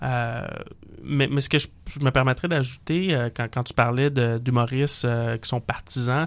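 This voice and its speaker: With long, frequent pauses, a man speaks fairly slowly at a medium pitch and with fairly even intonation. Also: very clean recording, silent background. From Quebec, Montreal (Saint-Léonard). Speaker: political panelist. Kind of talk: political talk show. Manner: hesitant, many fillers.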